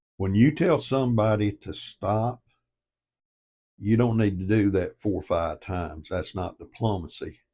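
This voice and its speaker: In a Southern US accent, a man talks at a fairly slow pace with a fairly low, somewhat breathy voice and ordinary pitch variation, on a very clean recording with a silent background. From US South. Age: 70s. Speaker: online commentator. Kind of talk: casual monologue. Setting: home office by fireplace. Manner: emphatic.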